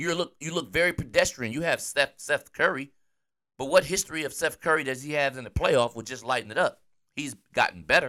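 A man with an American accent talks at a fairly quick pace. His loudness swings widely. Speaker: sports podcast host.

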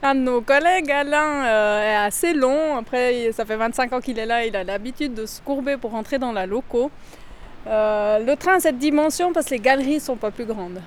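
Her high voice varies in pitch in an ordinary way as a woman talks at a moderate pace. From Valais, Switzerland. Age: 40s. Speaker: mine tour guide and train driver. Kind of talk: guided tour interview. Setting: underground salt mine and mine train.

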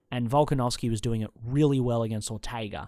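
The recording is very clean, the background silent. A man talks in an Australian accent with ordinary pitch variation. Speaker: MMA podcast host. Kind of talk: solo fight preview monologue. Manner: casual, profane, rambling.

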